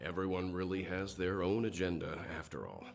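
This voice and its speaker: A man's put-on character voice, very deep and low, with monotone, flat intonation, a moderate pace and clear background noise. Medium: video game. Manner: measured, calm.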